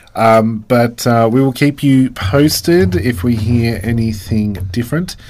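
The accent here is Australian. The speaker's pitch moves in a lively way. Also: man. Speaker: community radio host. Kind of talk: casual chat. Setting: radio studio.

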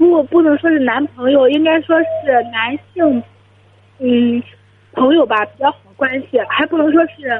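A high-pitched woman's voice at a fairly slow pace, with ordinary pitch variation. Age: 20s. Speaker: university student. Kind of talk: phone-in advice call. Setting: phone call. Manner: quiet.

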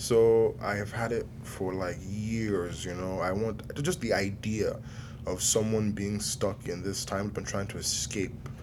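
With noticeable background noise and audible room echo, a man speaks in a fairly low voice at a fairly slow pace with fairly even intonation. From southern Nigeria. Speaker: film director. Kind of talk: interview. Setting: film festival.

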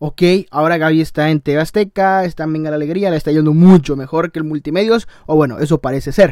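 Talking at a fairly quick pace, a man uses an animated tone and a fairly high pitch. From Tamaulipas, Mexico. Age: young. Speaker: podcaster and YouTuber. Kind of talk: casual monologue.

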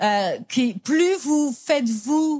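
A woman with a somewhat breathy voice and ordinary pitch variation is heard on a very clean recording with a silent background. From France. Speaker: business coach. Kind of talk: conference talk.

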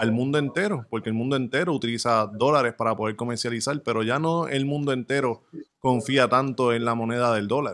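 A man with an ordinary speaking voice, medium in pitch, talks at a fairly quick pace with ordinary pitch variation. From Puerto Rico. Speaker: crypto podcast co-host. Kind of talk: podcast interview.

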